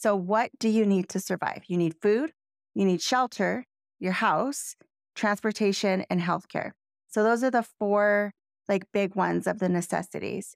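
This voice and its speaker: Heard in a very clean recording with a silent background and dry, close sound with no echo, a plain, everyday voice moves at a moderate pace with ordinary pitch variation and very even loudness. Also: woman. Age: 40s. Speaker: real estate agent and podcast co-host. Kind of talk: casual chat.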